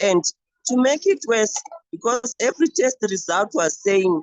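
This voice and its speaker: Her pitch swings very widely. This woman's pace is fairly slow. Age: 30s. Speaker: teacher living with a chronic illness. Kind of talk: personal testimony. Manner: halting, with repeated words.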